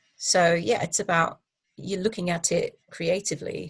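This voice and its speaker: A somewhat breathy woman's voice, fairly low in pitch, at a moderate pace. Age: 60s. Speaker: public speaker and coach. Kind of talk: interview conversation.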